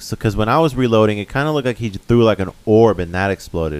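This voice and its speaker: A man with an unremarkable speaking voice talks in a fairly low pitch with lively intonation. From Mexican-American, US. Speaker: video game podcast co-host. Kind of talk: casual chat.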